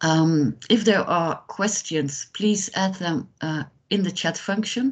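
Somewhat breathy speech moves at a very slow pace with ordinary pitch variation against a quiet background. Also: woman. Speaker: project coordinator moderating a webinar. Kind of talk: webinar moderation. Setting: video call. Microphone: video call.

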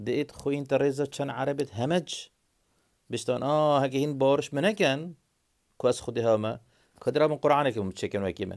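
Speaking with a Kurdish accent, a man talks at a fairly quick pace in a fairly high voice. His pitch varies in an ordinary way, and the background is quiet. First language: Kurdish (speaking Arabic). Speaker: video blogger. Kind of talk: monologue to camera. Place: home room. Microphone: phone near.

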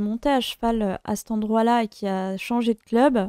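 Over a quiet background with dry sound and no echo, a woman speaks very slowly at a fairly high pitch with fairly even intonation. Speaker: YouTuber. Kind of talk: storytime monologue. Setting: home office. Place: home room. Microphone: studio mic.

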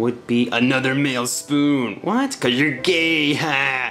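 Over clear background music, a man does a put-on character voice at medium pitch and a fairly slow pace.

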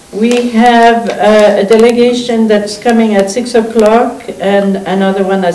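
Audible room echo surrounds a woman who speaks at a very slow pace with fairly even intonation. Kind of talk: chairing a formal meeting. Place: meeting room.

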